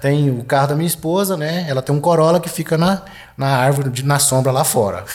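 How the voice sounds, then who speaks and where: A man speaks at a fairly quick pace in a fairly high pitch. Noticeable background noise runs behind him. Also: ordinary pitch variation. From Goiás, Brazil. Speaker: retired military police colonel. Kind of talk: casual interview chat. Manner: halting, repeats words.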